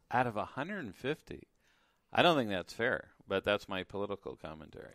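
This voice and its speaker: Speaking at a fairly quick pace in an American accent, a man with a medium pitch swings very widely up and down, recorded dry and close with no echo on a very clean track with a silent background. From Los Angeles. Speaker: radio host. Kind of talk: interview. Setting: radio studio.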